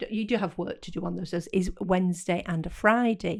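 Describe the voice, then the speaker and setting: A woman with a British accent, medium pitch and ordinary pitch variation, at a moderate pace in a very clean recording with a silent background. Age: 70s. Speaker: podcast co-host. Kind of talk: casual chat. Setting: studio.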